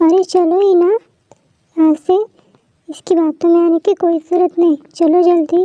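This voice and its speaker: A female-sounding cartoonish character voice at an extremely high pitch speaks monotone and flat at a moderate pace with long, frequent pauses. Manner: warm but firm.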